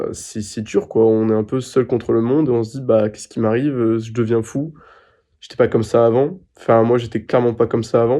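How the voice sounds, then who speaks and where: At a moderate pace, a man talks in a dark, mellow tone with a medium pitch and fairly even intonation. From France. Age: 20s. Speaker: patient sharing testimony. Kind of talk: interview answer. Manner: hesitant, emotional.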